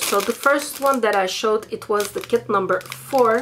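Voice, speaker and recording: Noticeable noise sits in the background. Over it, a woman talks with ordinary pitch variation. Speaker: beauty vlogger. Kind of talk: casual haul vlog chat. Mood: cheerful, enthusiastic. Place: home room. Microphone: camera far.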